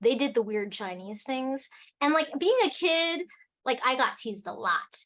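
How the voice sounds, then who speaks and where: Quiet background behind a woman with an Alaskan accent who speaks at a fairly slow pace in an animated tone. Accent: American, Alaskan. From Alaska, US. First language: Cantonese. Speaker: tea company founder. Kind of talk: casual chat.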